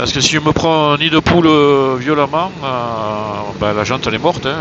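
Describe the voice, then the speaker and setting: Over noticeable background noise, a man talks at a fairly quick pace. His fairly high pitch shows ordinary variation. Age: 60s. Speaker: motorcycle traveller vlogger. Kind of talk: travel vlog. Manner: hesitant, many filler sounds.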